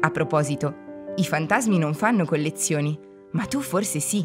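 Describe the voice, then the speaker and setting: A woman speaks at a fairly slow pace in a playful tone with ordinary pitch variation, music playing in the background. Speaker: narrator. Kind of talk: children's museum narration. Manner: friendly, playful.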